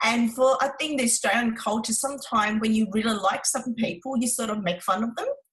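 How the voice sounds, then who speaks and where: In a Vietnamese accent, a woman talks at a fairly quick pace. Her pitch is fairly high, with ordinary variation. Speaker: relationship coach. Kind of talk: interview.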